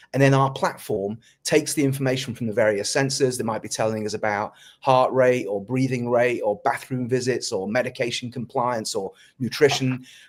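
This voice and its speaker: With a British accent, a man speaks at a fairly quick pace, medium pitch and fairly even intonation in a very clean recording with a silent background. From North Wales. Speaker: tech company founder and CEO. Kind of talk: interview.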